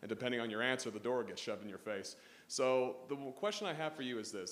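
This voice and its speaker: The speaker has an American accent and ordinary pitch variation. Audible room echo surrounds the voice. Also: man. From Utah. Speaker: student. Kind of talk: audience question. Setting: stage with audience. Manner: halting.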